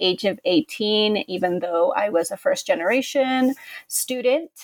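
With an American accent and an ordinary speaking voice, the speaker goes at a moderate pace with lively intonation in a dry, close sound with no echo. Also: woman. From California, Contra Costa County. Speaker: history professor and author. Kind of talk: interview.

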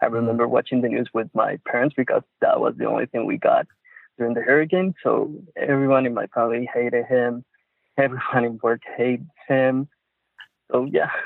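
This man has a Puerto Rican accent. He talks at a fairly quick pace. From Puerto Rico. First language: Spanish. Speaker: caller, industrial engineer. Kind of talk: casual chat. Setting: phone call. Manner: halting, searching for words.

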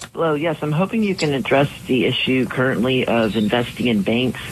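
A man with a medium-pitched voice speaks at a moderate pace with lively intonation, over noticeable background noise. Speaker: radio call-in listener. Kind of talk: call-in question.

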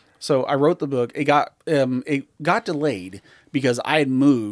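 A man speaks at a moderate pace and medium pitch in a plain, everyday voice, recorded with a dry, close sound and no echo. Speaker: author. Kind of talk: casual chat.

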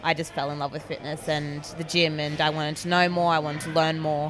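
With an Australian accent, a woman speaks in a flat monotone at a fairly low pitch over noticeable background noise. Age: 20s. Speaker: teacher and fitness blogger. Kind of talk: interview.

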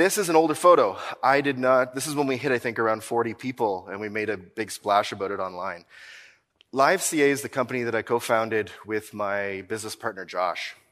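A man with a Maritime Canadian accent talks at a fairly quick pace and medium pitch, his intonation lively, on a very clean recording with a silent background. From Nova Scotia, Canada. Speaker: accounting firm owner, keynote speaker. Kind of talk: conference keynote talk. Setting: stage with audience. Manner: animated.

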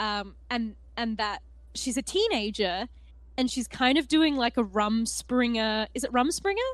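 Against a quiet background, a woman talks in an Australian accent. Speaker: tabletop gaming podcaster and cosplayer. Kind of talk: casual chat.

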